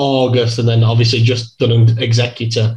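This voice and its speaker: English accent, male voice. This man's speech carries it throughout. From England. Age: 30s. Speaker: streamer and darts player. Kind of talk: interview.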